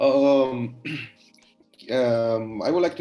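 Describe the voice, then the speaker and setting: Over music in the background, a man talks with an Italian accent and fairly even intonation. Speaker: publisher and editor. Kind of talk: interview. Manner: halting.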